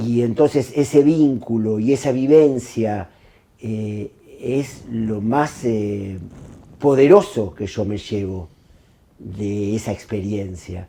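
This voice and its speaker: Dark and mellow in tone, a man speaks at a very slow pace with ordinary pitch variation. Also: medium pitch for a man. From Argentina. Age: 60s. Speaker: film director. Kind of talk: interview monologue. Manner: hesitant, many fillers.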